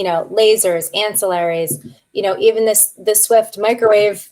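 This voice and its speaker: A woman's pitch varies in an ordinary way over a quiet background. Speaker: practice management consultant; guest. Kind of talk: webinar Q and A. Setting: online webinar. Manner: animated. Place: home room.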